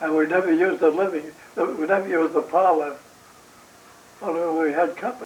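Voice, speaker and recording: The speaker has an American accent and a fairly quick pace. Intonation stays fairly even over noticeable background noise. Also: man. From New York City. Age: 80s+. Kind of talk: interview answer.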